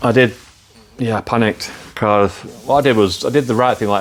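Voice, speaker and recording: A man with an English accent talks very fast in a fairly low voice, his pitch rising and falling by ordinary amounts. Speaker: motorcycle builder and video maker. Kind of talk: workshop vlog. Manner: casual, with fillers.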